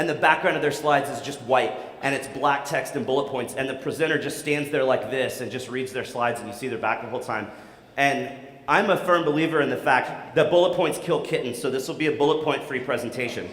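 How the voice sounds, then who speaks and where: A man talks at a very fast pace in an animated tone, his pitch fairly high. Noticeable background noise and audible room echo fill the recording. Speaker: conference speaker, SEO expert. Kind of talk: conference talk. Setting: stage with audience.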